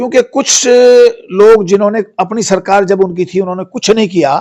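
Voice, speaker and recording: A man speaks with lively intonation. His pitch is high for a man. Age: 70s. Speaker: veteran politician, former minister. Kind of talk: press statement. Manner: halting, with frequent fillers and self-corrections.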